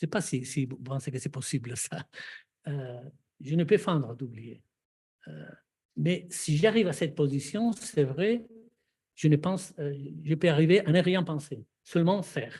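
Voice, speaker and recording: A man's somewhat breathy, dark, mellow voice with a non-native accent, fairly high in pitch and lively in intonation, at a fairly slow pace with long, frequent pauses. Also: big swings in loudness. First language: not French (speaking French). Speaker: psychoanalyst, seminar speaker. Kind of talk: panel discussion. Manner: halting, many hesitations.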